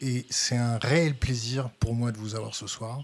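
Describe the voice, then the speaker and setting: Somewhat breathy and medium in pitch, a man speaks at a moderate pace. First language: French. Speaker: interviewer. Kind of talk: interview.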